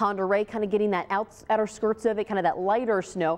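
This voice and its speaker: A woman talks at a very fast pace. She has an American accent. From US Pacific Northwest. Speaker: TV weather presenter. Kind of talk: TV weather forecast. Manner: upbeat.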